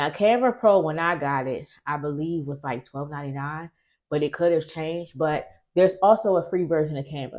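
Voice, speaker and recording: At a fairly quick pace, a woman speaks with a very deep, low pitch and ordinary pitch variation. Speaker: small business owner. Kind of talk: tutorial. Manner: casual, conversational.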